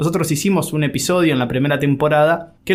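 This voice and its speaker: A man with an Argentine accent speaks at a fairly high pitch with fairly even intonation. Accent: Argentine Spanish (Rioplatense). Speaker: podcast host. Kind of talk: interview.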